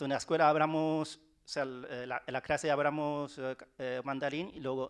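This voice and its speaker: Spoken with a Chinese accent, the speech has monotone, flat intonation and big swings in loudness. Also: man, fairly high pitch for a man, moderate pace. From China, Wenzhou. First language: Wenzhounese (speaking Spanish). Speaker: writer. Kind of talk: panel talk. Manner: halting, many repetitions.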